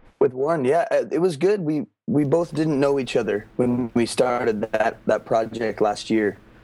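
Dark and mellow in tone, a man's voice moves at a moderate pace. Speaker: musician, band frontman. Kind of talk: casual interview chat.

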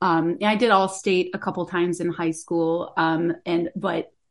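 A woman talks at a fairly slow pace with a medium pitch. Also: quiet background. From Florida, north of Tampa. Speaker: bassoon professor. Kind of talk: interview. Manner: halting, many fillers.

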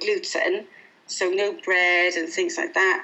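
A woman with a British accent talks at a fairly slow pace with very wide pitch swings. There is noticeable background noise. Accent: noticeable regional British. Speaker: guest, mum, nutrition plan client and mentor. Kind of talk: interview conversation. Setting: phone call.

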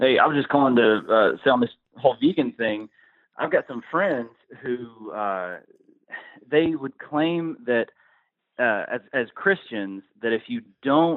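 Lively intonation marks this man's medium-pitched voice. He speaks at a fairly slow pace. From Canada. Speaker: caller. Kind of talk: call-in conversation. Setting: phone call.

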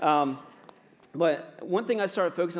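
High pitch from a male speaker. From US, Virginia. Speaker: pastor. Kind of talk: sermon. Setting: church. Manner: casual, filler-heavy with ums and uhs.

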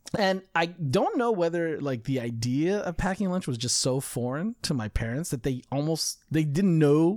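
A man with a plain, everyday voice speaks in an American accent at a fairly high pitch. His intonation is lively, and he moves at a moderate pace with hardly any pauses. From California. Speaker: podcast co-host. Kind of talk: casual chat.

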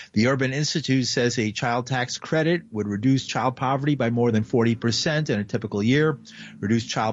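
A man's normal speaking voice with ordinary pitch variation at a moderate pace. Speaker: radio news anchor. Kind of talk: news reading. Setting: studio.

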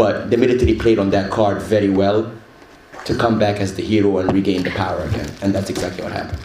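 Speaking at a very fast pace, a man uses a fairly low pitch and fairly even intonation. Audible room echo and noticeable background noise accompany him. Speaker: rapper. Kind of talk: panel talk.

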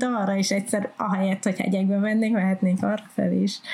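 This woman talks at a fairly quick pace. Noticeable background noise runs behind her. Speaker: podcast co-host. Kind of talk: scripted narration.

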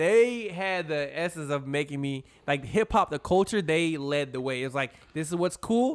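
An ordinary speaking voice from a man, fairly high in pitch, with lively intonation at a moderate pace. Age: 20s. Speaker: podcast co-host. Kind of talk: casual chat.

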